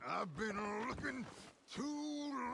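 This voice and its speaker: A man performs a put-on character voice at an extremely high pitch, raised and projected. Clear background noise is heard behind him. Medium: machinima.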